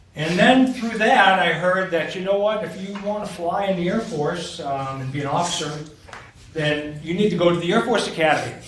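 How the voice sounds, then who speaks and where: Over noticeable background noise and audible room echo, a man with an American accent speaks at a fairly quick pace. His pitch is high and his intonation lively. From New Hampshire, US. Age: 60s. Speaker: war veteran. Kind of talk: talk to students.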